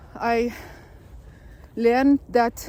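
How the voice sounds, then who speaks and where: A woman speaks with a Lithuanian accent and sounds somewhat breathy. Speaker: spiritual vlogger. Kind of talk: personal vlog monologue. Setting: outdoors in a forest. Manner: halting, with false starts.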